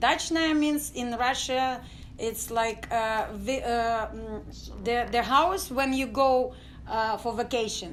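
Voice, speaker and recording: A woman speaks very slowly with audible room echo. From Ukraine, village near Odessa. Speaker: dance company artistic director. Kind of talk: interview testimony. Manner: halting, many fillers.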